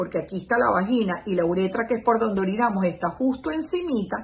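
The speaker talks at a very fast pace. The intonation is lively. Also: woman. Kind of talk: educational explainer. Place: home room. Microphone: phone near.

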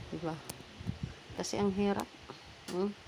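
Noticeable background noise behind a female voice. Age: 60s. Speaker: vlogger, widow. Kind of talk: casual vlog monologue. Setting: outdoors in her yard.

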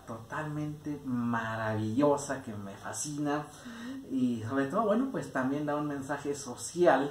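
A man's fairly high-pitched voice carries audible room echo. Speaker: radio and TV host and station director. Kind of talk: interview host. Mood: cheerful, enthusiastic. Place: home room. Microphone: handheld.

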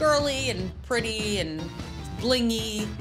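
A woman speaks with clear music in the background. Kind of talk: interview answer. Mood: enthusiastic, upbeat. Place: shop. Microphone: lapel.

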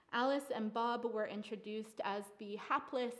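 A woman is speaking. Her pace is moderate. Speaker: artist and playwright presenting her work. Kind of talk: artist talk / lecture presentation to a live audience.

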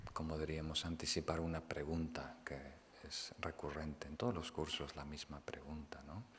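A man's very deep, low-pitched voice. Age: 40s. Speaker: Buddhist meditation teacher. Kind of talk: dharma talk.

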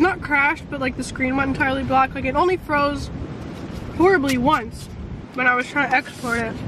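The speech runs at a fairly quick pace, with a dry sound free of echo and noticeable background noise. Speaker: vlogger. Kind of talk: casual vlog chat. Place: car. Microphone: phone near.

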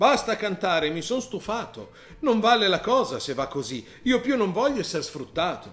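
Putting on a whiny character voice, a man speaks at a moderate pace and a high pitch with very wide pitch swings, music playing in the background. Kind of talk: comic rhyming children's story. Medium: read story. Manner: complaining, whiny, indignant.

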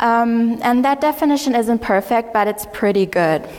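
Speaking at a fairly slow pace, a woman talks with a German accent. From Germany. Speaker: conference speaker and mentor. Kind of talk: conference talk. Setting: stage with audience. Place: hall.

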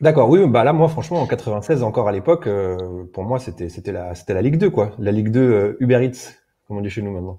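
A dark, mellow tone at a fairly quick pace, with lively intonation and big swings in loudness. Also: man, fairly low pitch for a man. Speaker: wrestling reviewer. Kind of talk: casual chat. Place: home room. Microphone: video call.

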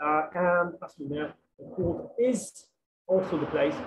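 A man talks at a fairly slow pace in a high pitch, with ordinary pitch variation. Light background noise is present. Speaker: academic researcher presenting; presenter. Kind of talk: conference presentation and Q&A. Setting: video call while travelling. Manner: halting, many fillers. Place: home room. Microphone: internet connection troubles; webcam.

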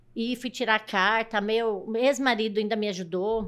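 The speaker is a woman with a fairly high voice. Her pitch moves up and down in a typical manner. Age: 50s. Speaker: truck driver; podcast guest. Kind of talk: casual chat. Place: studio. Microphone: studio mic.

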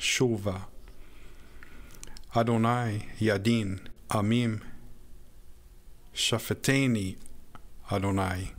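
With long, frequent pauses, a man talks very slowly at a fairly low pitch and with fairly even intonation. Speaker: scripture narrator. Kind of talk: reading aloud.

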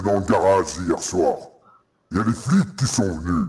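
A man puts on a character voice at a fairly low pitch. He goes at a moderate pace with ordinary pitch variation. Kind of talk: put-on disguised voice. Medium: game stream. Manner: aggressive, commanding, threatening.

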